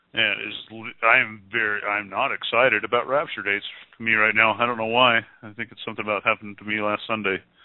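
Fairly quick in pace, a man talks with a fairly low pitch. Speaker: call-in internet radio show host. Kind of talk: casual call-in show chat. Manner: animated.

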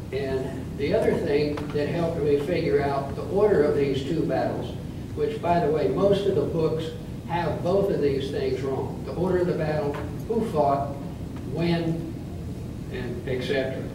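In a room with audible echo and noticeable background noise, a man talks fairly slowly with ordinary pitch variation. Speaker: presenter. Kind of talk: lecture. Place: hall. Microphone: camera far.

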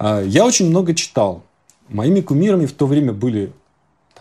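The voice moves at a moderate pace with very wide pitch swings. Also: man. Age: 40s. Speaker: image consulting client; interviewee. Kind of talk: interview. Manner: halting. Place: home room. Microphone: lapel.

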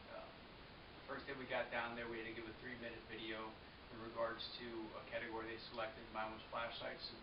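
Fairly quick speech over noticeable background noise. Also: man. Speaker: firearms instructor trainee. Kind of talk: casual talk to camera. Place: home room. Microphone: webcam.

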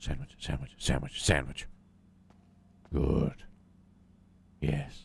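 A man puts on a character voice, very deep and low. He delivers it at a fairly slow pace with monotone, flat intonation. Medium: actual play. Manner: grumbling, irritable.

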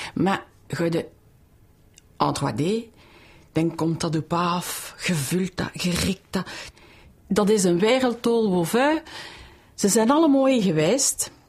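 A woman speaks in a Brussels accent at a medium pitch, somewhat breathy. Her pace is very slow, with long, frequent pauses and very wide pitch swings. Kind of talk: interview answer. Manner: enthusiastic.

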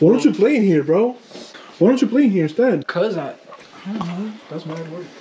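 Over noticeable background noise, a man with a high pitch and lively intonation speaks with long, frequent pauses. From New Jersey (Paterson). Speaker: car vlogger. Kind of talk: casual vlog chat. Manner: casual, repetitive and halting.

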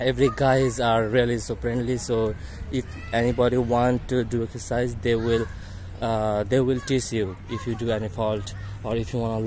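A man's moderately paced speech with fairly even intonation, dry sound with no echo and light background noise. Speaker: campus tour narrator. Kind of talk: casual vlog chat. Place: street. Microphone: phone near.

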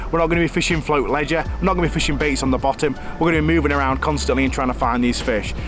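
Music plays in the background as a man speaks at a very fast pace. The sound is dry with no echo. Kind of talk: tutorial. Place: forest.

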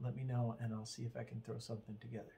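Somewhat breathy, this man's voice has a dark, mellow tone. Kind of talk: casual show-and-tell explanation. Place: workshop.

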